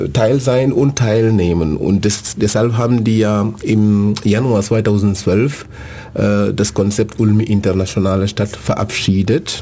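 Noticeable background noise sits under the speech. The pace is very slow, with fairly even intonation. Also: man, fairly low pitch for a man. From Senegal. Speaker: city integration coordinator. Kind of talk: radio interview. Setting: radio studio. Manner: hesitant, many fillers.

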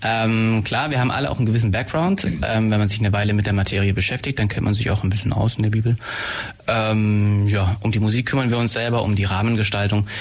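Over noticeable background noise, a man with a fairly low pitch speaks at a very fast pace, with fairly even intonation and very even loudness. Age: 20s. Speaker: medical student, shared-house resident. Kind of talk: radio interview. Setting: radio studio.

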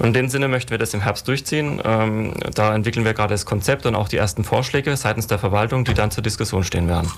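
Over noticeable background noise, a man with a fairly low pitch talks very fast with hardly any pauses, very even loudness and ordinary pitch variation. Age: 40s. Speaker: city traffic planning official. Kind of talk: radio panel discussion. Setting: radio studio.

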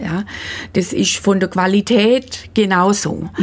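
Very slow speech from a woman at medium pitch, ordinary pitch variation, with noticeable background noise. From Swabia, Germany. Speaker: midwife and midwifery school teacher. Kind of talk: radio interview.

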